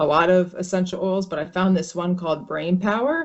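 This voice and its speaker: A woman speaks in an ordinary speaking voice with an American accent. Her pitch is fairly low, with ordinary pitch variation at a moderate pace. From US, northern New Jersey. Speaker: brain injury survivor. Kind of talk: interview. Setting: video call.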